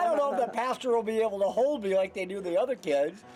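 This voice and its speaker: Against noticeable background noise, a man talks with lively intonation in an extremely high voice. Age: 60s. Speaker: storyteller. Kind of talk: humorous anecdote.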